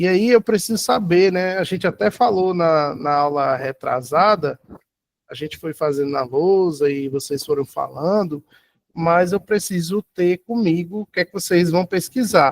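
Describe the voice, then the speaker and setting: Recorded dry and close with no echo, a man with a high pitch talks at a fairly slow pace with ordinary pitch variation. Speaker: university lecturer. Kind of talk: lecture.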